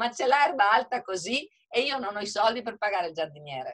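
Against a quiet background, a woman speaks in an animated tone. Her intonation is lively. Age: 60s. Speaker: hotel owner. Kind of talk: webinar panel discussion. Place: home room. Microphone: video call.

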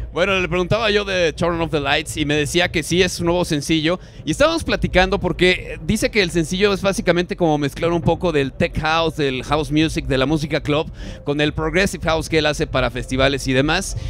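Over light background noise, a man with a fairly high pitch talks very fast with hardly any pauses and ordinary pitch variation, in a dry sound with no echo. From Mexico. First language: Spanish. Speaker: radio host. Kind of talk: live radio interview with Spanish interpretation. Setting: live radio broadcast at a festival. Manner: halting in English, many fillers. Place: booth. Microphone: handheld.

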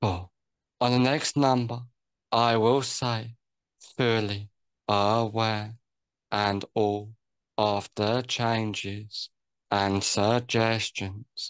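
Speaking very slowly in a soothing tone, a man with a fairly low voice keeps his intonation fairly even, heard dry with no echo against a quiet background. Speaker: hypnotherapist. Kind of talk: guided hypnosis induction with countdown and relaxation suggestions. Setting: online one-on-one session. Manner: slow, soothing, repetitive, hypnotic cadence. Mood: calm, slow, soothing. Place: home room. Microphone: video call.

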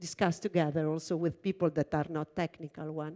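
A woman in an Italian accent, dark and mellow in tone, against a quiet background. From Italy. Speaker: computer engineer and research lab director; keynote speaker. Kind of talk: keynote talk. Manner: halting, many fillers. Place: stage.

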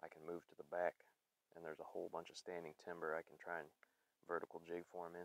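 A man with an American accent speaks fast in a low pitch, his intonation monotone and flat. The sound is dry and close with no echo.

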